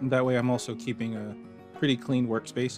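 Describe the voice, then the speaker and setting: Over music in the background, a man talks in a calm tone at a medium pitch. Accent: American. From Maryland, USA. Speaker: fashion designer. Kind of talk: instructional walkthrough. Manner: casual, calm.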